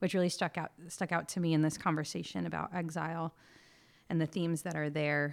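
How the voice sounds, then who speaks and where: On a very clean recording with a silent background, a woman with a very deep, low pitch and vocal fry speaks at a very fast pace with fairly even intonation. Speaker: church minister. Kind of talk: religious discussion. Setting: home recording during quarantine.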